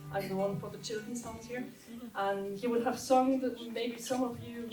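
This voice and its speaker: A woman speaks with fairly even intonation, her voice carrying an audible room echo over noticeable background noise. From Austria. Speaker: trad musician and student. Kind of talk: stage introduction of music set. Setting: stage with audience at community centre.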